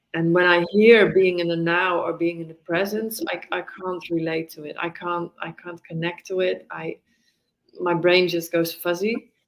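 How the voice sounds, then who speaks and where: A woman with a fairly low pitch, monotone, flat intonation, and a fairly slow pace. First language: Dutch. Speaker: mindfulness teacher. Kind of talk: casual conversation interview. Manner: halting.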